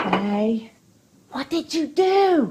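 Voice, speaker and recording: With very wide pitch swings, a woman uses a high, put-on character voice. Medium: short film.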